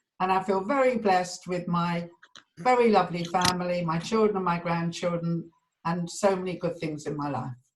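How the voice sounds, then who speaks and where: This woman has a southern English accent. Her pitch is fairly low. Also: ordinary pitch variation, moderate pace. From London (Edgware). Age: 70s. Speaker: community member sharing memories. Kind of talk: personal reminiscence. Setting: video call.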